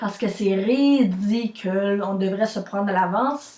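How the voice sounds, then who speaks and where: In a Quebec accent, a woman speaks at a very slow pace. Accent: Québécois French. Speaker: vlogger. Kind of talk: personal vlog.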